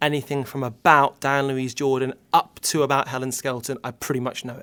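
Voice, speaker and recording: A man's medium-pitched voice, bright and sharp, fairly quick, with big swings in loudness. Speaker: children's TV presenter. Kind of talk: casual interview chat. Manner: animated.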